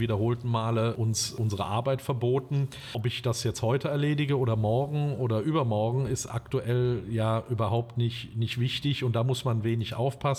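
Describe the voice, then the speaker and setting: Over noticeable background noise, a man talks fairly quickly. His pitch is medium and his intonation fairly even. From western Germany, Limburg an der Lahn region (Hesse). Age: 50s. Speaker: restaurant owner. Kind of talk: interview. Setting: outdoors in a park.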